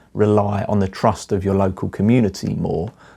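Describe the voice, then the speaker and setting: On a very clean recording with a silent background, a man speaks in a fairly low voice with an English accent. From England. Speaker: artist and vlogger. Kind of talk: casual monologue vlog. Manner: halting, repeats words.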